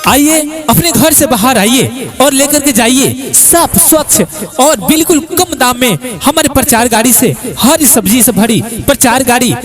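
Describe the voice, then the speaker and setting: A man's extremely high-pitched, energetic voice with lively intonation over music in the background. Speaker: announcer. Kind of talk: street advertising announcement. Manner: loud, energetic.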